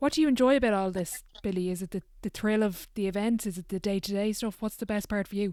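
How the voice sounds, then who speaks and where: In a very clean recording with a silent background, a woman with an Irish accent speaks very fast in a dark, mellow tone with ordinary pitch variation. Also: medium pitch for a woman. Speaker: podcast host. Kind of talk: podcast interview questions.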